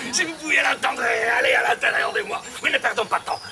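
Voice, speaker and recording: A man performs in a put-on character voice. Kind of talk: comic stage banter. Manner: playful, teasing, theatrical.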